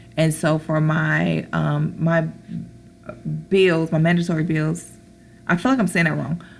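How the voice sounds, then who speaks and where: A woman speaks at a fairly slow pace with long, frequent pauses. Background noise is noticeable. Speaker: budgeting vlogger. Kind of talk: casual tutorial. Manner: hesitant with fillers.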